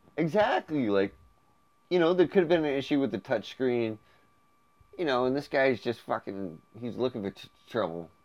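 Speaking at a moderate pace with long, frequent pauses, a man with a medium-pitched, playful tone makes very wide pitch swings and big swings in loudness. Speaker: podcast host. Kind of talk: casual comedic chat. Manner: joking, playful.

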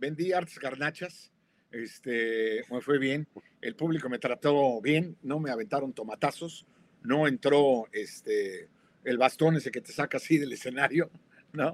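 A man with an unremarkable speaking voice talks fairly slowly at a fairly high pitch, with ordinary pitch variation and big swings in loudness. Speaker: co-host. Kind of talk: live talk show discussion. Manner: jovial.

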